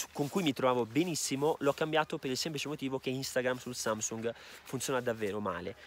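Over light background noise, a man speaks at a fairly quick pace in a medium pitch with ordinary pitch variation, the sound dry with no echo. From Veneto, northern Italy. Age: 20s. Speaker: YouTuber. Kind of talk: casual Q&A vlog. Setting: outdoors on ski slopes. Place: open country. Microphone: phone near.

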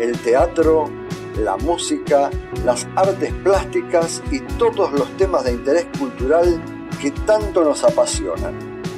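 Talking at a very slow pace, a man is heard with music playing behind him. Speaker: voice-over announcer. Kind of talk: radio-style advertising spot.

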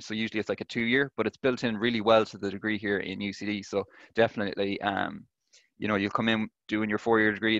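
With an Irish accent, a man talks at a very fast pace in a fairly low, monotone, flat voice, the sound dry with no echo over a quiet background. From Ireland. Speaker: engineering student. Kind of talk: presentation and Q&A answers. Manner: hesitant, many fillers. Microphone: webcam.

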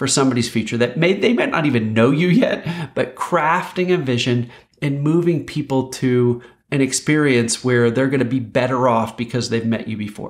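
A plain, everyday voice from a man, medium in pitch, with ordinary pitch variation at a moderate pace. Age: 50s. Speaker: host. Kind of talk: scripted narration; interview. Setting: video call. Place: home room.

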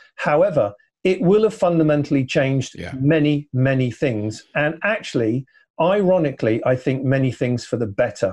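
Speaking at a moderate pace with lively intonation, a man with a fairly high pitch sounds somewhat breathy against a quiet background. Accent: English. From England. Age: 60s. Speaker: electric vehicle consultant; podcast guest. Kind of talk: casual chat.

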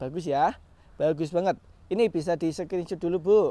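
With ordinary pitch variation, a man speaks in a high pitch, the sound dry with no echo. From Indonesia. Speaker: orchid seller. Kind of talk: street-market pitchman hawking orchids, upbeat sales patter with prices and bulk deals. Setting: live video from the orchid nursery. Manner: coaxing buyers with countdowns like 'satu dua tiga jebret'. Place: garden. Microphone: phone near.

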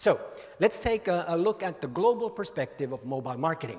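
A man's high voice in a Finnish accent, fairly quick, with very wide pitch swings. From Finland. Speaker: mobile industry author and speaker. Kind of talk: conference keynote talk. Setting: stage with audience. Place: hall. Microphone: handheld.

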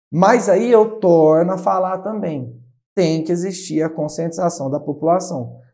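High-pitched man speaking at a fairly slow pace with ordinary pitch variation, against a quiet background. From São Paulo state, Brazil. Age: 20s. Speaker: city councillor. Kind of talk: interview. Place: studio. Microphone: lapel.

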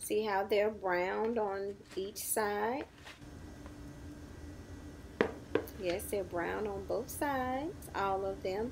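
A woman talks at a very slow pace with ordinary pitch variation. Noticeable background noise is present. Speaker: home cook vlogger. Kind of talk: cooking tutorial chat. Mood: enthusiastic, upbeat. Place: kitchen.

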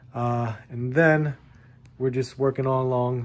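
Fairly even in intonation, a man speaks at a fairly slow pace. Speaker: toy collector vlogger. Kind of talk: casual vlog chat. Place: home room. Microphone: phone near.

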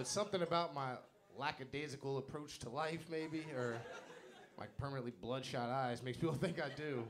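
With a normal speaking voice, a man talks fairly quickly at a fairly high pitch with ordinary pitch variation. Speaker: stand-up comedian. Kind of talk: stand-up comedy set on stage, self-deprecating jokes about dating and awkward mishaps. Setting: stage with audience. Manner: chuckles at his own punchlines, casual and self-mocking.

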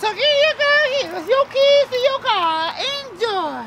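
An extremely high put-on character voice at a moderate pace, over light background noise. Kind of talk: improvised comedy skit, mock car-lot commercial pitch. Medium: role play.

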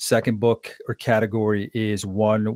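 A man is heard over a quiet background in a dry sound with no echo. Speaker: podcast host and leadership coach. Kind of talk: interview conversation. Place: home room. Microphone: studio mic.

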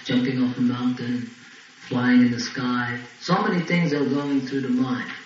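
Light background noise and audible room echo around a man's voice. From Ireland, Longford. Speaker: Hare Krishna preacher. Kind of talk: religious lecture. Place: home room. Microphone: old recording.

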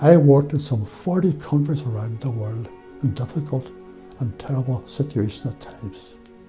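Clear music plays behind a man with a Derry accent. He talks at a moderate pace with lively intonation and big swings in loudness. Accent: Northern Irish (Derry). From Northern Ireland, Derry; Northern Ireland. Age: 80s+. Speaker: former electoral official. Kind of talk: interview. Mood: calm, proud reflection. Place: studio. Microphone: lapel.

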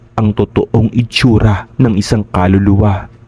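In a dry, close sound with no echo, a man speaks fairly slowly with a fairly low pitch and monotone, flat intonation. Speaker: horror story narrator. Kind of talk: scripted narration.

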